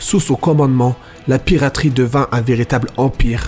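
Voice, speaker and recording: A medium-pitched man speaks while music plays in the background. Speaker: voice actor. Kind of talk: history podcast narration.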